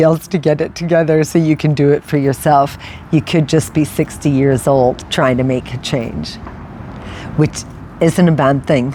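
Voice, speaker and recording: A woman speaks at a very deep, low pitch with a moderate pace and fairly even intonation. Noticeable background noise runs beneath her. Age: 60s. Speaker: lifestyle vlogger. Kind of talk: personal reflective monologue. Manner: casual, conversational with fillers.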